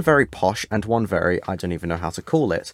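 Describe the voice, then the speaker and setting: On a very clean recording with a silent background, a man with a British accent talks at a very fast pace, his pitch swinging very widely. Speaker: podcast host. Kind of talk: casual chat. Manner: hesitant, many filler words.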